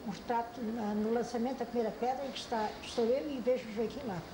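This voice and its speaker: Noticeable background noise and audible room echo surround the recording. A woman with a fairly high pitch talks at a moderate pace with fairly even intonation. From Portugal, Algarve (Loulé area). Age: 80s+. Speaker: elderly eyewitness interviewee, oral history. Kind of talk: oral history interview. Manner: halting, with repetitions.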